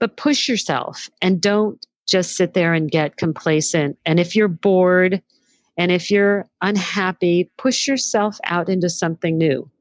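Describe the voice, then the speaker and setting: In a normal speaking voice, a woman at medium pitch talks at a fairly slow pace with ordinary pitch variation and very even loudness, the sound dry and close with no echo over a quiet background. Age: 60s. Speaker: entrepreneur and former magazine editor. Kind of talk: interview.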